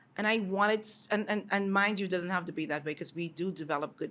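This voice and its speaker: At a very fast pace, a woman with a Bahamian accent speaks in an animated tone at a medium pitch with ordinary pitch variation. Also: hardly any pauses. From Bahamas. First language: Bahamian dialect. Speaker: educator. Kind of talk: interview.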